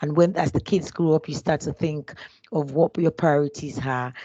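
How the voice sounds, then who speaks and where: Against a quiet background, a woman with a Nigerian accent speaks at a very deep, low pitch with ordinary pitch variation. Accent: Nigerian (Yoruba) English. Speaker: HR business partner. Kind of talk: interview. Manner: hesitant, many fillers and restarts.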